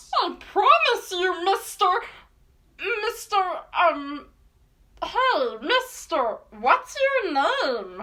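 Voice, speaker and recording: In a cartoonish character voice, the speaker goes at a very slow pace with long, frequent pauses, an extremely high pitch and very wide pitch swings. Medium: puppet. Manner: whiny, pleading.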